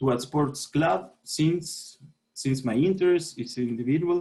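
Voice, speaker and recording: In a Chilean accent, a man speaks with lively intonation. His voice is fairly high in pitch and somewhat breathy. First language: Spanish. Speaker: sport sociologist. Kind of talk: panel presentation. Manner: halting.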